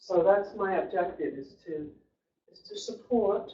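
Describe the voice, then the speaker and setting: The speech is loud and comes at a fairly slow pace. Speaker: guest presenter. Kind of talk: presentation. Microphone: too quiet for online listeners.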